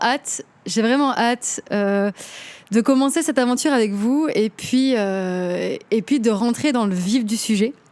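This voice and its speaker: Speaking at a very slow pace, a woman keeps a very even loudness while her high-pitched voice carries lively intonation. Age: 20s. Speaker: podcast host and singer. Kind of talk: casual monologue. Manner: hesitant, many fillers.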